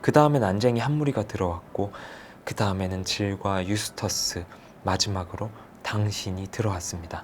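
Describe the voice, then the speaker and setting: A man speaks calmly at a moderate pace. His pitch is fairly low, with ordinary variation. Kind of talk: audiobook novel reading. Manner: soft-spoken, calm.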